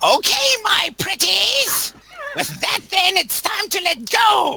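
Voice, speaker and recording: Someone shouts in a put-on character voice with a high pitch. The pace is very slow. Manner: sinister, theatrical.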